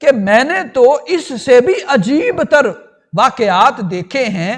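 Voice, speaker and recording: The speaker is a man with an extremely high pitch. His pitch swings very widely. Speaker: islamic scholar. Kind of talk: religious storytelling lecture. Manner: soft-spoken.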